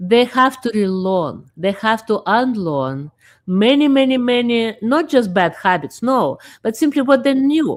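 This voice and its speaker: Against a silent background in a very clean recording, a woman with a non-native accent speaks at a fairly slow pace and fairly high pitch, her pitch swinging very widely. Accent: foreign. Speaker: talk show host. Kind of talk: casual chat. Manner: halting.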